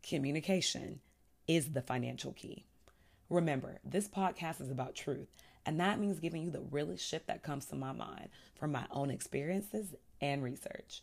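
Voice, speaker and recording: Speaking at a moderate pace, a woman with a very deep, low pitch and vocal fry sounds animated, her intonation lively. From Texas, Houston. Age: 30s. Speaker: podcast host. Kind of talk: casual monologue.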